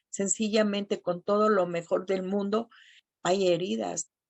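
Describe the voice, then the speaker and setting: A woman talks fairly slowly in a normal speaking voice at a medium pitch with ordinary pitch variation. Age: 60s. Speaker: support group speaker. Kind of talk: testimony.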